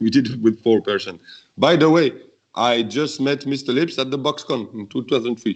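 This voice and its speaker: With a French accent, a man speaks at a medium pitch and a moderate pace, his intonation fairly even. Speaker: beatboxer. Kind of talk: interview. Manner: halting.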